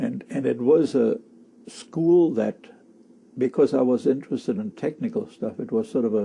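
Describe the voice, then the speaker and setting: Speaking in a German accent at a moderate pace, a man with a dark, mellow tone makes very wide pitch swings. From Germany, Berlin. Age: 70s. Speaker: war-era eyewitness. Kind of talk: oral history interview. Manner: halting.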